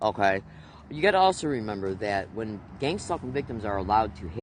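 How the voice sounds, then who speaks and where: A man's fairly low voice moves with lively intonation. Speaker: video blogger. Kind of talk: monologue vlog. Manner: fast.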